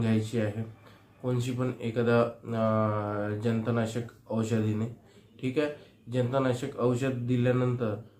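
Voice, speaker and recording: In a room with audible echo, a man talks at a medium pitch in a dark, mellow tone with flat, monotone intonation. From Maharashtra, Chandrapur. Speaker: veterinary practitioner. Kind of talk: tutorial.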